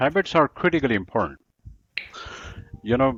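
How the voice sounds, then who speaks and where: A man speaks with an American accent and ordinary pitch variation. Music plays in the background. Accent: American-sounding English. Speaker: English teacher and accent trainer. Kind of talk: book discussion interview.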